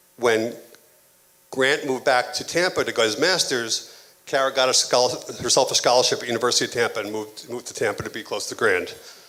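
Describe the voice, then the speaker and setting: A man talks at a very fast pace. Noticeable background noise sits behind him. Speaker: father of the bride giving a toast. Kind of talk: wedding toast. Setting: wedding reception, audience. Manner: mumbling.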